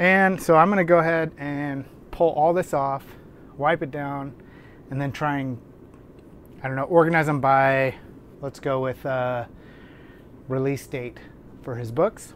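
A man at a fairly slow pace with long, frequent pauses and fairly even intonation, dry with no echo, over light background noise. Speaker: book channel host. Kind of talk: casual vlog chat. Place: home room.

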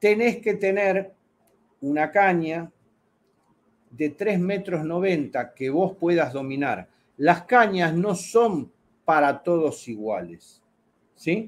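At a very slow pace with long, frequent pauses, a man talks at a high pitch with lively intonation. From Argentina. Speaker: fishing channel host. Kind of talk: casual chat. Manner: animated. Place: home room. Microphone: webcam.

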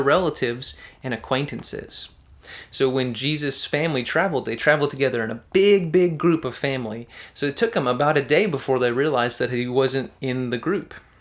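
The man's speech moves at a moderate pace, and his pitch shows ordinary variation. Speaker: children's pastor. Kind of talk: Bible reading and explanation for kids. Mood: warm, gentle. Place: home room. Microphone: studio mic.

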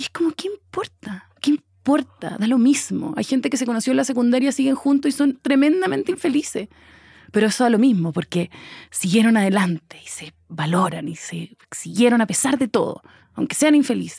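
Against a quiet background with a dry sound and no echo, a woman speaks fairly quickly in a high, dark, mellow voice with very wide pitch swings. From Chile. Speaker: actress. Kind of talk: casual interview conversation. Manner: talkative. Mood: reflective, candid. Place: studio. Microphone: studio mic.

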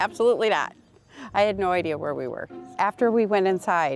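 A woman at a moderate pace, dry sound with no echo, faint music in the background. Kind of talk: interview answer. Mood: cheerful, laughing. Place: street. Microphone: lapel.

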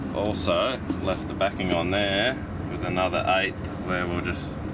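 A man talks fairly slowly, with loud noise in the background. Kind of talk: tutorial. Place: boat.

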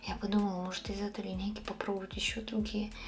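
Faint music plays in the background while a woman talks. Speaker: beauty vlogger. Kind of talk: casual vlog chat. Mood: enthusiastic about perfume. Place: home room. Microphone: phone near.

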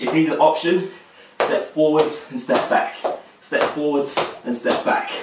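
A man speaks at a fairly slow pace. Loud background noise and audible room echo surround him. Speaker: fitness instructor. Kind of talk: tutorial. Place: home room. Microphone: camera far.

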